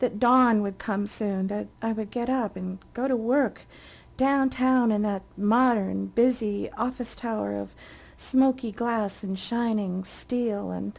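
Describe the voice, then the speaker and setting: At a very slow pace, a woman speaks with fairly high pitch and fairly even intonation. The recording is very clean, with a silent background. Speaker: author and narrator. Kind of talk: dramatic first-person ghost story narration.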